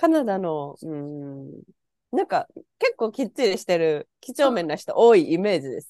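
Speaking at a moderate pace and medium pitch, a woman with a dark, mellow tone shows very wide pitch swings and big swings in loudness, in a dry, close sound with no echo. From Japan. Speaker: podcast guest living abroad. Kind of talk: casual chat.

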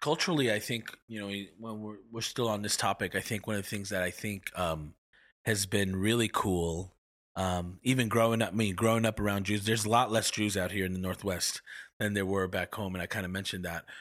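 A man speaks in a plain, everyday voice, fairly low in pitch and fairly quick. His intonation is fairly even on a very clean recording with a silent background. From New York (Long Island). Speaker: podcast co-host, minister. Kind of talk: casual chat.

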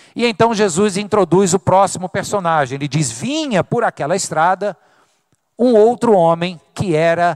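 A man at a fairly slow pace, with ordinary pitch variation and a dry, close sound with no echo. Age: 40s. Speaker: pastor. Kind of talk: sermon. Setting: church.

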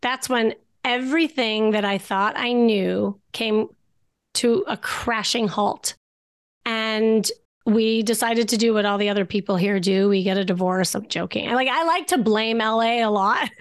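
A woman's fairly high voice, an ordinary speaking voice, at a fairly slow pace with very even loudness and ordinary pitch variation, over a quiet background. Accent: American. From US Midwest, Chicago. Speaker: dating coach and therapist. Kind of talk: interview.

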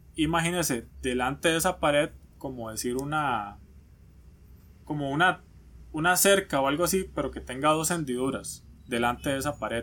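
A man with a Costa Rican accent speaks at a fairly high pitch in a bright, sharp tone. He keeps a moderate pace with ordinary pitch variation and long, frequent pauses. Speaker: podcast co-host. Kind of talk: casual chat.

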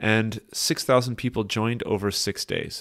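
A man with a Canadian accent and an ordinary speaking voice, medium in pitch, at a moderate pace, in a very clean recording with a silent background. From Canada. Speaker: podcast host. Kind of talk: scripted narration.

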